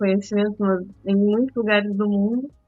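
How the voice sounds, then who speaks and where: She speaks at a fairly slow pace, a woman with a medium pitch. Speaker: podcast co-host. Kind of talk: podcast discussion. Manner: speaking softly, child asleep.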